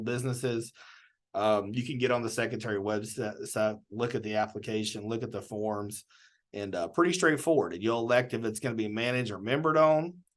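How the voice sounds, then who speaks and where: A man talking at a fairly quick pace, with ordinary pitch variation against a quiet background. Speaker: government small business advisor. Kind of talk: webinar presentation. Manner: fast.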